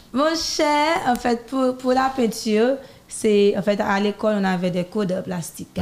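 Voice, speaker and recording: An ordinary speaking voice from a woman, fairly high in pitch, with lively intonation and a fairly slow pace. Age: 20s. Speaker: singer and designer. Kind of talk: interview. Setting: studio.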